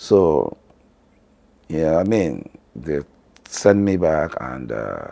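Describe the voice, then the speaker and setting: Very deep and low, a man's dark, mellow voice moves at a very slow pace with lively intonation, long and frequent pauses, and big swings in loudness. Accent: Nigerian. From northern Nigeria. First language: Hausa. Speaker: family vlogger. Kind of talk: personal story.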